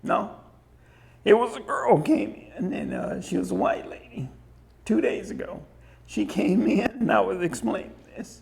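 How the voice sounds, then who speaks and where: Speaking at a fairly slow pace with long, frequent pauses, a man swings widely in loudness amid audible room echo. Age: 60s. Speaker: museum owner and guide. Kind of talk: museum tour interview.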